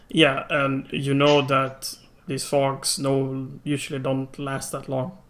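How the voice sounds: Slowly, a man talks in a fairly bright tone. His intonation is monotone and flat. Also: medium pitch for a man.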